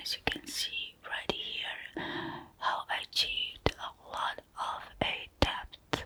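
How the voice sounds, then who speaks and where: A woman whispers very slowly while noticeable background noise carries on. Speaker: makeup artist. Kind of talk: ASMR makeup tutorial voiceover. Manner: whispered.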